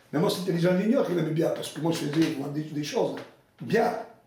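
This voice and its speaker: Lively in intonation, a man talks at a very fast pace. Audible room echo and noticeable background noise surround him. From Italy. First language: Italian (speaking French). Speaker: retired mine foreman. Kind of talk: interview testimony.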